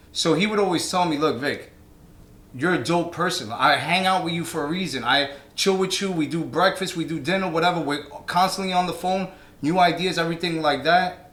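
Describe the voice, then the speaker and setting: A man with a New York accent speaks in a high voice with fairly even intonation, with audible room echo and noticeable background noise. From New York (Brooklyn). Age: 30s. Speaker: DJ and DJ instructor. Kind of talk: casual chat.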